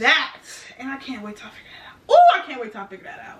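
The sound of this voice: Very wide pitch swings at a fast pace, with audible room echo. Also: woman, high pitch for a woman.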